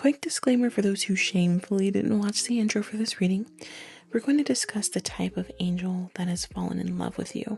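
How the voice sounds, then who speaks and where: Soft-spoken and fairly quick, a woman of medium pitch talks with ordinary pitch variation over noticeable background noise. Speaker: tarot reader. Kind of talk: tarot reading monologue. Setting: home recording at night. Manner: casual.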